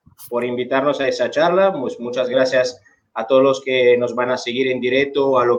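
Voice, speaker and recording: A man with an Italian accent talks at a moderate pace. His pitch is medium, with ordinary variation. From Italy. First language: Italian (speaking Spanish). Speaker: bartender and bar management instructor. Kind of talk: online seminar talk.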